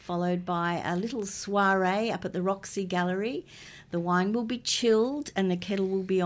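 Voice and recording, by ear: This is reading aloud in a natural voice. Nothing else stands out.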